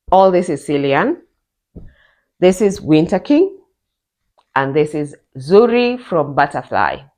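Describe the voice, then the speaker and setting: A woman speaks at a fairly slow pace, with long, frequent pauses and very wide pitch swings around a fairly low pitch. The background is quiet. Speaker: knitting vlogger. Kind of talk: casual vlog talk.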